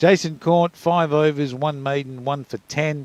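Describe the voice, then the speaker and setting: A man is speaking. He talks with an Australian accent. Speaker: cricket commentator. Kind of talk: live commentary.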